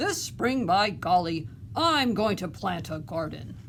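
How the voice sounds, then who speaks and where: A woman speaks fairly slowly in a put-on character voice at a medium pitch, with clear background noise behind her. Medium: read story. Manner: hearty, eager.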